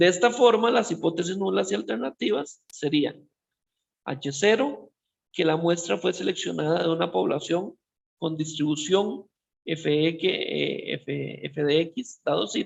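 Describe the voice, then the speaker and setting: A man's high voice carries lively intonation while he talks at a fairly slow pace. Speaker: statistics professor. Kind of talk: lecture.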